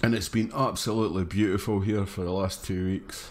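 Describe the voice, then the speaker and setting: A man's fairly low voice at a moderate pace, flat and monotone in intonation. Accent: Scottish. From northeast Scotland. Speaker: gaming streamer. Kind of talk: live game stream commentary. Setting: at home, late at night.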